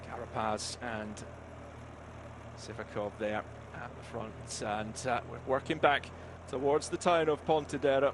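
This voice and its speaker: A man in a Scottish accent, fairly slow and broken by long, frequent pauses, with big swings in loudness and ordinary pitch variation. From Scotland. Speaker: cycling commentator. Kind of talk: live commentary.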